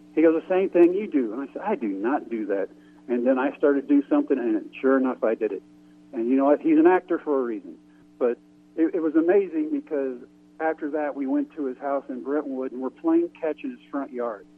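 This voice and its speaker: A man speaks in an ordinary speaking voice at a fairly high pitch. He goes at a fairly quick pace with ordinary pitch variation. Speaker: former pro baseball pitcher. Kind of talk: radio interview.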